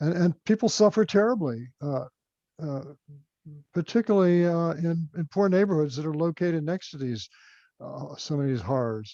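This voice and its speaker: In a dry, close recording with no echo and a quiet background, a man with an American accent speaks at a moderate pace, his fairly high voice dark and mellow in tone with lively intonation. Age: 80s+. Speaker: author, former environmental agency official. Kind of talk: Q&A after book talk. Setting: video call. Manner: halting.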